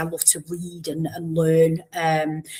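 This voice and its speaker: With a Mancunian accent, a woman speaks in a fairly low pitch. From northern England, Warrington near Manchester. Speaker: education professor. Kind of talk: podcast interview.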